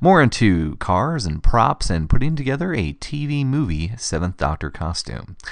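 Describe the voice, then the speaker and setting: A man with an American accent speaks at a medium pitch with very wide pitch swings and vocal fry. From Minnesota. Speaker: podcast host. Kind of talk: casual interview chat.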